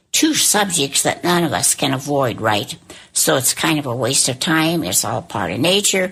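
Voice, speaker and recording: With very wide pitch swings, a woman speaks at a moderate pace in a very deep, low voice. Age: 80s+. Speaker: elderly interviewee. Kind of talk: interview testimony. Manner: partly reading aloud from notes.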